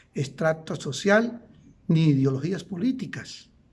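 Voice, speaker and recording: In a room with audible echo, a man with a high-pitched voice speaks at a fairly slow pace with lively intonation. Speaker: law lecturer. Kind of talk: lecture.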